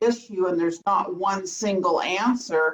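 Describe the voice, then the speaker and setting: Here a woman speaks with an American accent in a medium pitch. Her pace is fairly slow and her pitch variation ordinary. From Woodland Hills, Los Angeles. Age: 60s. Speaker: resident asking a question. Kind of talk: public comment at community meeting. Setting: video call.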